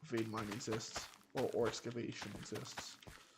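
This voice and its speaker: Noticeable noise fills the background. Over it, a man speaks at a fairly slow pace. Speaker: gaming streamer. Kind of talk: gameplay commentary. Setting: livestream.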